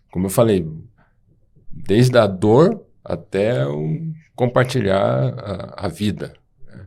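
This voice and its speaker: A man talks at a very slow pace with a fairly low pitch, a dark, mellow tone, and vocal fry. His pitch swings very widely, his loudness swings a lot, and he leaves long, frequent pauses. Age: 60s. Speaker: podcast co-host, doctor. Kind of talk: podcast conversation.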